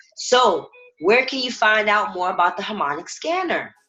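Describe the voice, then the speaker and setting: Loud and animated, a woman speaks with vocal fry and very wide pitch swings. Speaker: trading educator. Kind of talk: webinar tutorial.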